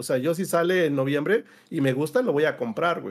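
With lively intonation and a moderate pace, a man speaks against a quiet background. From Mexico. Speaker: gaming panelist; panelist. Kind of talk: casual debate panel. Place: home room.

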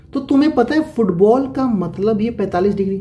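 A man talks at a high pitch. Room echo is audible. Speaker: maths teacher. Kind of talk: lecture.

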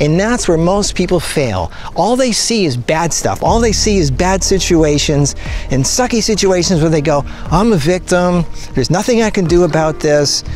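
Faint music plays in the background as a man speaks at a moderate pace, the sound dry with no echo. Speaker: motivational vlogger. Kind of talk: motivational talk to camera. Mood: earnest, persuasive. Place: beach. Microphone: phone near.

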